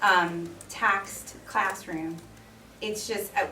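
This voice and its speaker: A woman with a New York accent speaks with ordinary pitch variation, with audible room echo and noticeable background noise. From New York City (Queens and the Bronx). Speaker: resident, former teacher. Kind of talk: public comment at town meeting. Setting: public hearing.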